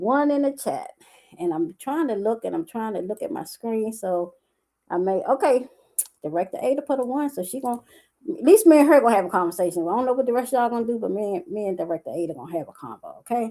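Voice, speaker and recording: A woman with a dark, mellow tone and fairly high pitch talks at a very fast pace. Her pitch swings very widely. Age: 60s. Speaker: life coach and entrepreneur. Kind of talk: livestream talk to viewers. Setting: live stream on Facebook. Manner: animated.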